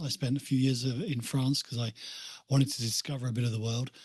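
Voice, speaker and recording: A man speaks in a British accent, sounding somewhat breathy. The background is quiet. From England, Essex coast (Walton on the Naze). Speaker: motivational speaker and author. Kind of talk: podcast interview.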